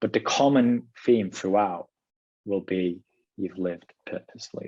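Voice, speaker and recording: With a British accent, a man speaks at a moderate pace and a fairly low pitch. His tone is dark and mellow, with ordinary pitch variation. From Britain. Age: 30s. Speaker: author interviewed as podcast guest. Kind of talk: casual interview chat.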